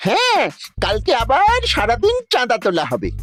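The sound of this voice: Putting on a cartoonish character voice at an extremely high pitch, a man speaks at a fairly slow pace.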